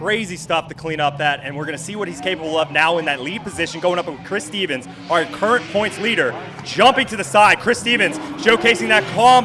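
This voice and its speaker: A man talks at a fairly quick pace with lively intonation and a high pitch. Music plays in the background. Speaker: drifting commentator. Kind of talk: live commentary. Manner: animated; fast.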